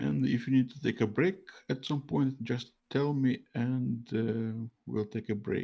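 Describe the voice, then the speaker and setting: A man's dark, mellow voice at a medium pitch, with lively intonation and a fairly slow pace. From Latvia, Russian diaspora. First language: Russian. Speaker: streamer interviewer. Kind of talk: interview. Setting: live stream call over mobile internet.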